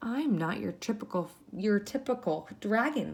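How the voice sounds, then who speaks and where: A female-sounding voice in a put-on character voice speaks at a medium pitch and a moderate pace on a very clean recording with a silent background. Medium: read story. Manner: soft, meek.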